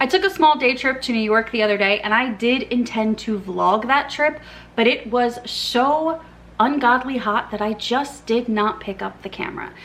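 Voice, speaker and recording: Noticeable background noise sits behind this woman. Her pitch is high and her pace moderate. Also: ordinary pitch variation. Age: 30s. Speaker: book content creator. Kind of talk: casual vlog chat. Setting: filming at home in living room.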